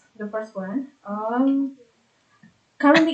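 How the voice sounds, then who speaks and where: Speaking fairly slowly with an Indonesian accent, a woman has a fairly high, somewhat breathy voice with ordinary pitch variation. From Indonesia, South Tangerang near Jakarta. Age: 20s. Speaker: doctoral student. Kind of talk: academic progress presentation. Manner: halting, many fillers.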